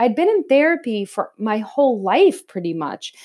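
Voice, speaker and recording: A woman talks with lively intonation in a fairly high voice with a dark, mellow tone. The recording is very clean, with a silent background. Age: 40s. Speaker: podcast host and spiritual teacher. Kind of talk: casual spiritual teaching monologue.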